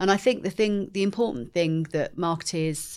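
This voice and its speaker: The speaker has an English accent. Pitch variation is ordinary. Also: woman. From England. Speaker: marketing executive. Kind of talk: interview.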